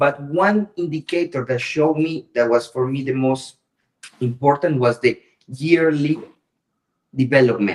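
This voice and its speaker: A man with a Colombian accent, fairly high-pitched, at a moderate pace with ordinary pitch variation. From Colombia, Pacific coast. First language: Spanish. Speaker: business owner in trading. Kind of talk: casual chat. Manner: halting.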